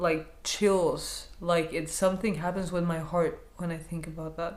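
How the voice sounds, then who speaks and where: Speaking at a fairly slow pace, a woman keeps a monotone, flat intonation. Noticeable background noise and audible room echo surround her. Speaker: counselor sharing personal experience. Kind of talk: personal vlog monologue. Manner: hesitant, repeating words; lowered, quieter voice.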